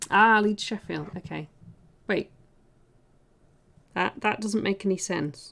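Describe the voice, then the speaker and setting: Vocal fry at a very slow pace. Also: woman. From South Yorkshire, England. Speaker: miniature painter and streamer. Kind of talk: casual livestream chat while painting.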